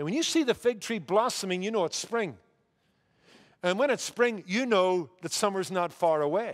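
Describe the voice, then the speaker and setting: In a Northern Irish accent, a man speaks at a moderate pace with a high pitch. His intonation is lively and the background is quiet. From Northern Ireland. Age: 50s. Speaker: pastor. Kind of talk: sermon. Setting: church. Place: church. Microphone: headset.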